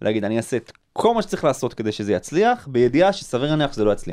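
This man talks very fast. His voice leaps between very high and very low notes. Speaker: publisher and tech entrepreneur. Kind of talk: interview conversation. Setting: studio. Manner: repeats words, fillers.

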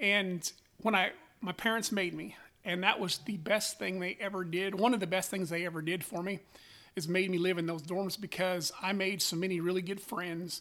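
In a raised, projected voice, a man with a high pitch and a bright, sharp tone speaks at a moderate pace with fairly even intonation, recorded very cleanly over a silent background. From Wyoming. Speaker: sheep breeder. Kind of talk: interview.

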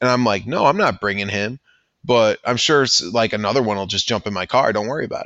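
A man's plain, everyday voice, fairly low in pitch, with an American accent, fairly even intonation and a fairly quick pace. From Chicago western suburbs. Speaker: comic book collector. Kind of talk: casual interview.

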